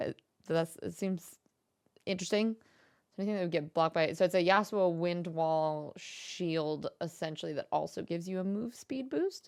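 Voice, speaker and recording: An animated woman's voice of fairly low pitch with ordinary pitch variation, in a very clean recording with a silent background. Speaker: streamer reacting to video. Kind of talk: casual reaction commentary. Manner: fast.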